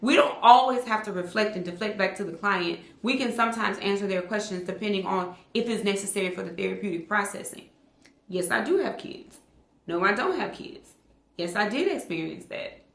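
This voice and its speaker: Noticeable background noise and audible room echo around a woman at a fairly quick pace, medium in pitch, with ordinary pitch variation. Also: big swings in loudness. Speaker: therapist and online educator for clinicians. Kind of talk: casual talk to camera, video podcast. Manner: fast talker.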